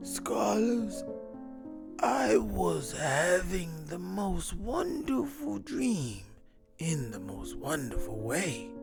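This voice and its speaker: A man in a put-on character voice at a very slow pace, with clear music in the background. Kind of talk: children's story time host. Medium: read story. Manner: warm, encouraging, repeats a pet form of address.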